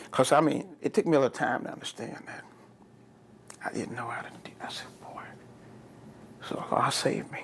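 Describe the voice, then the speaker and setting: Whispering at a fairly quick pace, a man shows big swings in loudness and long, frequent pauses. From Texas, San Antonio. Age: 60s. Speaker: oral history interviewee. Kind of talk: oral history interview.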